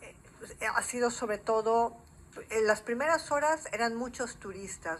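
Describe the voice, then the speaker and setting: Her delivery is fairly slow. The woman's intonation stays lively throughout. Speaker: journalist. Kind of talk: TV interview.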